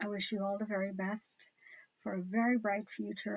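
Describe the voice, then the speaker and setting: A woman's somewhat breathy voice at medium pitch, with fairly even intonation. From Guyana. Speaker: online talk show host. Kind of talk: casual chat.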